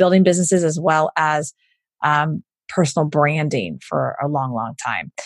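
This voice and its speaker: A woman with an American accent speaks at a moderate pace in a very deep, low pitch. The sound is dry and close, with no echo. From Houston, Texas. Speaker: entrepreneur and business coach. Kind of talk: interview.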